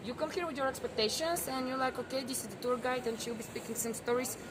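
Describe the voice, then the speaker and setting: A woman with a Bulgarian accent speaks in a high voice with ordinary pitch variation, against noticeable background noise and audible room echo. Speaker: tour guide. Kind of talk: guided tour talk.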